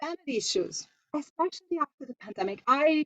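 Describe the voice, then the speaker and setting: In a dry, close recording with no echo, a woman with a Hungarian accent speaks at a moderate pace with lively intonation. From Hungary. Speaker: homeopath and coach. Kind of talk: online masterclass presentation. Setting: live online session. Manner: halting, with fillers.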